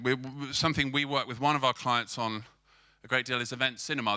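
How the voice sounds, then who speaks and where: In a British accent, a man talks at medium pitch with a bright, sharp tone and fairly even intonation. The recording is very clean, with a silent background. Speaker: film marketing agency co-founder. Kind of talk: conference talk. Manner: fast; repetitive false starts.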